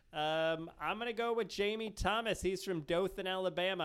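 An animated man at a moderate pace, with ordinary pitch variation. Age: 40s. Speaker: podcast host. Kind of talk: casual chat.

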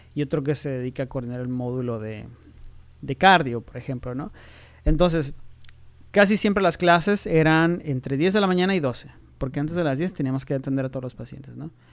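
A very clean recording with a silent background and an unremarkable speaking voice. The pitch varies in an ordinary way, and the pace is fairly quick. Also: man, fairly high pitch for a man. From Mexico, Tijuana. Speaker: nuclear medicine physician. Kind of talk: interview.

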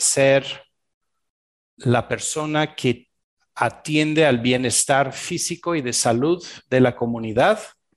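Over a quiet background, a man of medium pitch speaks at a very slow pace with fairly even intonation. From Belgium. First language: French (speaking Spanish). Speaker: shamanic practitioner and executive coach. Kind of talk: interview.

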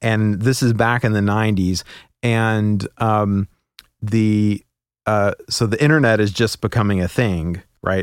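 This is a man with a normal speaking voice, fairly low in pitch and fairly slow. His loudness is very even, his intonation fairly even, and the recording very clean with a silent background. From US, moved around (Oklahoma, Kentucky, Alabama, Pacific Northwest). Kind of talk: casual interview chat.

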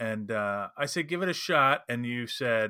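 A man speaks at a fairly slow pace with a bright, sharp tone, on a very clean recording with a silent background. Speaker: podcast co-host. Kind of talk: casual chat.

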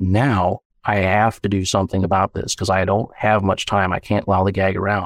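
In an American accent, a man with a fairly low pitch speaks at a moderate pace in a monotone, flat intonation with very even loudness, recorded dry and close with no echo, very clean against a silent background. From Saint Louis area, US. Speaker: podcast production agency owner. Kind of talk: casual interview chat. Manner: casual, jokey.

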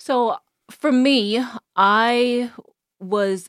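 A woman with a Bahamian accent, in a dry, close sound with no echo. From Bahamas (Eleuthera). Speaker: podcast guest host. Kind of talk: casual faith discussion.

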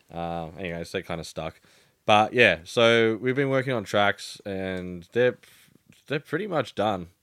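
In an Australian accent, a man talks at a fairly slow pace with lively intonation. His pitch is fairly low. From Melbourne, Australia. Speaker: DJ and music producer. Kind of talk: casual interview chat. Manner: halting, many fillers.

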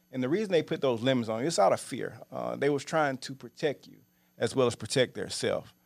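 A man with a Louisiana accent and vocal fry, at a very fast pace, with big swings in loudness and ordinary pitch variation, on a very clean recording with a silent background. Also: medium pitch for a man. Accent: Louisiana Southern US. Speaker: real estate investor and show co-host. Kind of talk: casual chat. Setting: studio.

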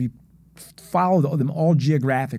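Heard on a very clean recording with a silent background, a voice with an American accent and a dark, mellow tone speaks at a moderate pace with ordinary pitch variation. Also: man. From Philadelphia. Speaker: former district attorney. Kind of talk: podcast interview. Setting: studio.

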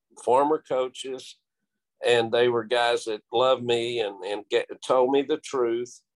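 Speaking with a Texan accent, a man uses a medium pitch, fairly even intonation and a moderate pace. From Texas, Abilene. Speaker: high school football coach. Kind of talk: interview.

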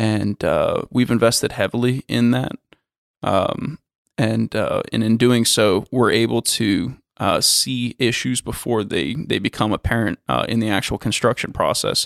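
A man with an American accent speaks at a fairly slow pace, and the sound is dry and close with no echo. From Florida. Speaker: construction company executive. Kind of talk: interview. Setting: in person. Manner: hesitant, many fillers.

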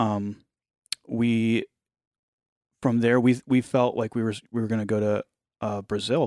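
In an American accent, this dark, mellow voice moves at a fairly slow pace in a flat monotone, broken by long, frequent pauses. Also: man, medium pitch for a man, dry, close sound with no echo. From US Midwest, Ohio. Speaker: ministry founder. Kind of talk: faith testimony in casual conversation.

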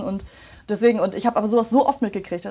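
A woman talks at a very fast pace in an animated tone, her pitch fairly high. Her pitch varies in an ordinary way. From western Germany, Remscheid. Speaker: voice actress. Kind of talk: casual chat.

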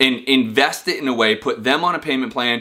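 An energetic man's voice at medium pitch with a bright, sharp tone. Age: 30s. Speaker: real estate investor and business video host. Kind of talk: casual direct-to-camera talk.

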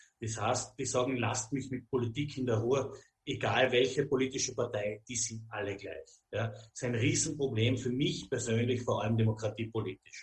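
At a moderate speed, somewhat breathy speech comes with intonation that stays fairly even. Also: man, medium pitch for a man. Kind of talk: interview.

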